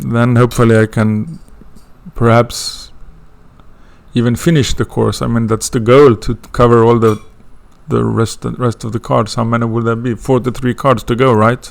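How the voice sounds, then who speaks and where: A man with a Swedish accent speaks at a moderate pace with fairly even intonation. He leaves long, frequent pauses. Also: medium pitch for a man. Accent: non-native English, Swedish. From Sweden. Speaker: astrology student teaching a course. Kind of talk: lecture intro. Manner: halting, many fillers.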